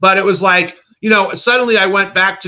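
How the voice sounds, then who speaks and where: This man has a high-pitched voice and an American accent. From suburban New Jersey. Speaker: filmmaker and animator. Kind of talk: casual interview chat. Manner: casual, filler-heavy.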